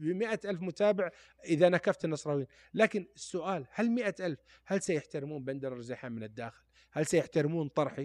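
Against a quiet background, a man with an unremarkable speaking voice talks at a moderate pace, his pitch fairly high and his intonation lively. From Saudi Arabia, Taif. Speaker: former footballer and sports pundit. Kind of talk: podcast interview.

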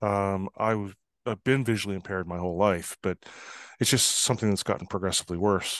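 A man with a Canadian accent and a normal speaking voice talks at a fairly quick pace and fairly low pitch with fairly even intonation. The sound is dry and close with no echo, and the background quiet. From northern Canada. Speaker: trust expert and consultant. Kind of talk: interview conversation.

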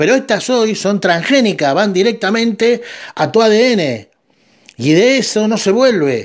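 With a Rioplatense accent, a man speaks fairly slowly in a high voice, his intonation lively and his loudness very even. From Argentina. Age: 50s. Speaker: podcast host. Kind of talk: monologue commentary.

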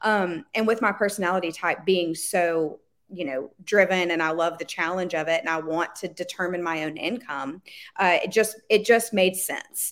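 On a very clean recording with a silent background, a woman uses a normal speaking voice at a fairly low pitch, a moderate pace and ordinary pitch variation. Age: 20s. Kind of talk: interview.

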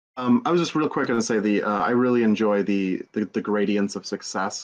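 Fairly low in pitch, a man talks at a fairly quick pace with ordinary pitch variation. He has an unremarkable speaking voice, and the background is quiet. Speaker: podcast producer and game master. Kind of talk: casual chat.

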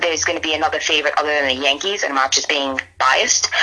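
A woman speaks with a very deep, low pitch and ordinary pitch variation. Noticeable background noise can be heard. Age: 30s. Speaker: sports commentator. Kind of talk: casual chat.

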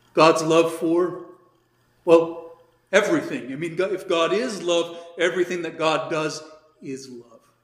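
A man's high-pitched voice, fairly even in intonation and fairly slow, with long, frequent pauses and audible room echo. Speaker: priest teaching catechism. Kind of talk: catechism class lecture. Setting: classroom with some attendees online. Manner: casual, hesitant with fillers.

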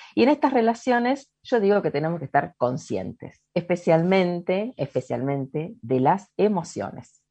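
A woman with a dark, mellow tone and a fairly low pitch speaks at a fairly slow pace, her pitch swinging very widely and hardly any pauses breaking her speech. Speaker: ontological coach. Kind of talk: podcast interview, explanatory talk. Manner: calm, unhurried.

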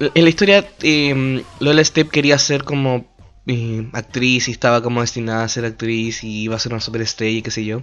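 This man speaks with a Chilean accent at a moderate pace. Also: medium pitch for a man, ordinary pitch variation. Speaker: solo podcaster reviewing films. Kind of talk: casual solo monologue. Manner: halting, with many repeated words. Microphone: microphone problems, may sound bad.

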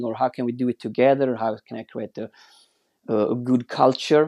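The dry, close sound with no echo carries a man speaking at a moderate pace with fairly even intonation. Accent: Swedish. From Sweden. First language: Swedish. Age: 40s. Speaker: watch brand founder. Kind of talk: interview. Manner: halting.

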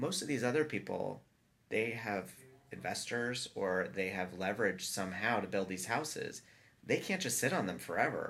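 A man with a plain, everyday voice and a fairly low pitch speaks with an American accent. He keeps a moderate pace and lively intonation. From US South, Atlanta. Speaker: architecture and design firm principal. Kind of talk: casual interview chat.

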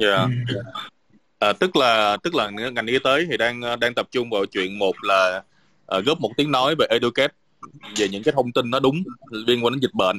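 With a bright, sharp tone at a medium pitch, a man speaks with ordinary pitch variation and long, frequent pauses in a dry, close sound with no echo. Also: moderate pace. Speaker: webinar moderator. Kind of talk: online panel discussion. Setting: video call. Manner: hesitant, many fillers.

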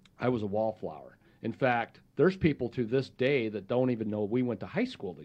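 Speaking in an ordinary speaking voice, a man at medium pitch talks at a fairly quick pace with lively intonation. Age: 50s. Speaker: podcast host. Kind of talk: interview.

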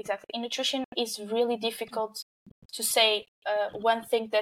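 With a Portuguese accent, a woman of fairly high pitch speaks at a moderate pace in a monotone, flat intonation, with a dry, close sound and no echo. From Portugal. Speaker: nutrition researcher. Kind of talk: interview. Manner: halting.

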